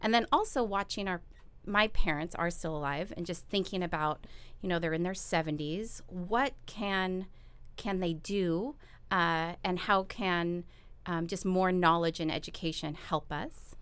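The speaker uses a normal speaking voice with ordinary pitch variation. The pace is fairly slow. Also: woman, medium pitch for a woman. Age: 40s. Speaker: podcast host and physical therapist. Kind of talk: interview. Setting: studio.

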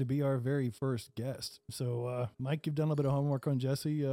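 At a very fast pace, a man with an American accent speaks at medium pitch with a dark, mellow tone. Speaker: podcast host. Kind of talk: casual chat. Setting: studio.

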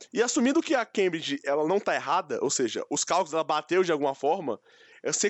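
Very fast and with very wide pitch swings, a man rattles through his speech. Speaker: podcast co-host. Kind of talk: casual chat.

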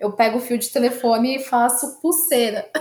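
Her voice, a woman's, sits at a high pitch. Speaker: podcast co-host. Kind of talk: casual chat. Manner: animated.

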